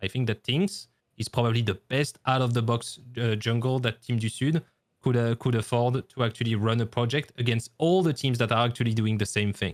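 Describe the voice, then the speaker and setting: In a French accent, a man talks at a fairly quick pace with a medium pitch, ordinary pitch variation and very even loudness, in a dry, close sound with no echo. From France. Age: 30s. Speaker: esports caster and former coach. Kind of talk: podcast interview. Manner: halting.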